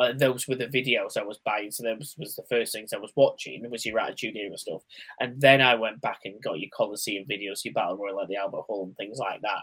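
A man in a British accent talks at a fairly quick pace with hardly any pauses. His loudness swings widely. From UK. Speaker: wrestling podcast host. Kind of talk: casual chat.

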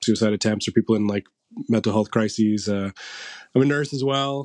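Dry and close with no echo, a man with an ordinary speaking voice and medium pitch talks at a fairly quick pace in a Canadian accent, his intonation fairly even. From St. Catharines, Ontario. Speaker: marketing and PR agency co-owner, musician. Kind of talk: casual interview chat.

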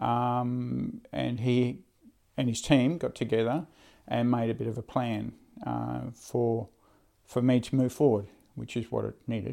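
Fairly slow speech from a man, broken by long, frequent pauses. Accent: Australian. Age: 50s. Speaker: charter pilot. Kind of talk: interview. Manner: halting.

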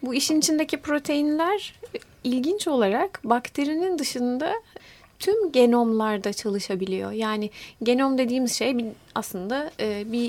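A woman speaks at a fairly slow pace in a high pitch. Her intonation is lively, and noticeable background noise runs behind her. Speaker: molecular biologist, university lecturer. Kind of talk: interview.

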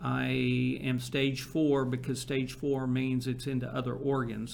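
The man's voice sits at a medium pitch, moving at a moderate pace with monotone, flat intonation. Room echo is audible. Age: 60s. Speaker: marketing agency founder and cancer patient. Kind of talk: interview.

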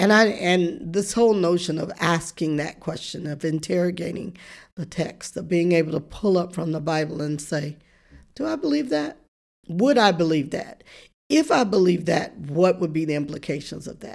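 A woman talks at a moderate pace with a fairly low pitch and ordinary pitch variation. The recording is very clean, and the background is silent. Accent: Southern US. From US South, rural deep south. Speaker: professor and preacher. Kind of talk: interview.

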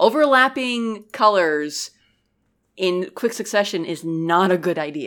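With a plain, everyday voice at a medium pitch, a woman speaks fairly slowly with lively intonation on a very clean recording with a silent background. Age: 30s. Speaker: game reviewer. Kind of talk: casual chat.

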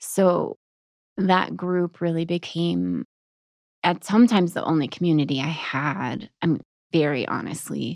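A plain, everyday voice, this woman's is fairly low in pitch with ordinary pitch variation, speaking at a fairly slow pace with an American accent in a dry, close sound with no echo. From Texas. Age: young. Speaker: author and military widow. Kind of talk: interview about grief and faith. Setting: studio.

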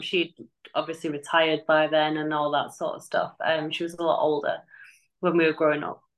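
This woman speaks with an English accent at a fairly low pitch. Her intonation is monotone and flat. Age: 30s. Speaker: army veteran and firefighter. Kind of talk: casual chat.

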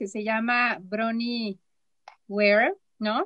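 A woman's high voice has a bright, sharp tone, recorded with a dry, close sound and no echo. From Mexico, Chihuahua. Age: 40s. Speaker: therapist and former teacher. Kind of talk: casual chat.

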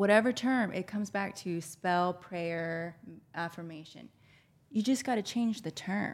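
In a very clean recording with a silent background, a woman has an unremarkable speaking voice at medium pitch, with ordinary pitch variation and big swings in loudness. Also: fairly slow pace. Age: 40s. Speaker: spiritual healer. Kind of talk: casual chat.

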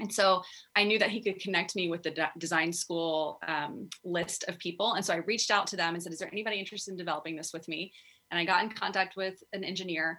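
This woman talks very fast in a fairly low voice with a bright, sharp tone and an American accent. Her intonation stays fairly even. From Texas. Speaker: physical therapist. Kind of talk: interview.

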